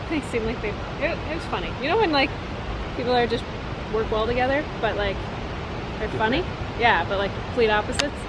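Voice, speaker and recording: Recorded dry with no echo, a woman speaks at a fairly quick pace over noticeable background noise. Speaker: vlogger. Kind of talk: casual vlog chat. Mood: cheerful, recounting job interview. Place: forest. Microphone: phone near.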